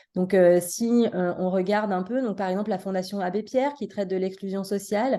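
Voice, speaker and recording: Fairly quick speech in a dark, mellow tone comes over a quiet background. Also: woman, medium pitch for a woman, hardly any pauses. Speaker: social psychology professor. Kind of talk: lecture. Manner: fast.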